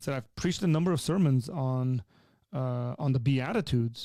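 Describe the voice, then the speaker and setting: With an Armenian accent, a man speaks at medium pitch with ordinary pitch variation. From Armenian culture. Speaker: pastor. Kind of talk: live Q&A advice.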